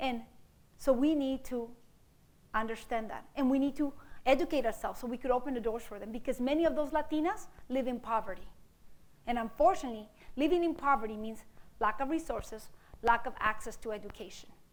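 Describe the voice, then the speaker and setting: A woman with a Mexican accent speaks at a very fast pace in a high pitch with ordinary pitch variation. She takes long, frequent pauses, and audible room echo surrounds her voice. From East Los Angeles, born in Mexico. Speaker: mathematics professor. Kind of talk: public lecture. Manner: animated.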